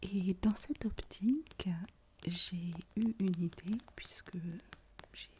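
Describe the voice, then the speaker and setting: A woman speaks at a very slow pace with a somewhat breathy, dark, mellow tone, fairly low pitch and ordinary pitch variation. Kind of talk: ASMR video talk to camera. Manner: soft-spoken, whispered.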